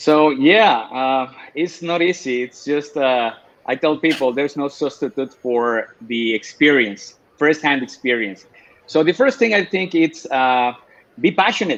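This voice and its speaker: In a Mexican accent, a man talks at a fairly slow pace and a fairly high pitch with lively intonation. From Mexico. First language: Spanish. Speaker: spirits educator. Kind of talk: casual interview.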